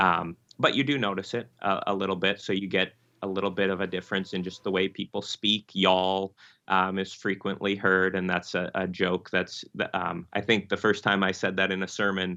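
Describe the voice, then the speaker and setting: Monotone and flat, a man with a very deep, low voice and a slight Michigan accent talks at a moderate pace. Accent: slight nasal upper Midwest Michigan. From Michigan, US upper Midwest. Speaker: Lutheran pastor. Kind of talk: interview conversation. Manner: halting, many fillers.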